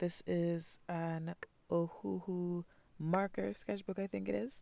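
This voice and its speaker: This woman speaks with a West Indian accent at a fairly low pitch. Her intonation is lively. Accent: West Indian, some twang. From Caribbean (West Indies). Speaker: art channel creator. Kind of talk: sketching voiceover. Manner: casual, hesitant with fillers.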